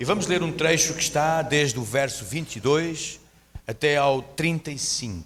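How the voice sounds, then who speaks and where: A man with a strong European Portuguese accent speaks at a fairly slow pace, fairly high in pitch with ordinary pitch variation. Noticeable background noise and audible room echo surround him. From Portugal. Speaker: guest preacher. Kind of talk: sermon. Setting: church.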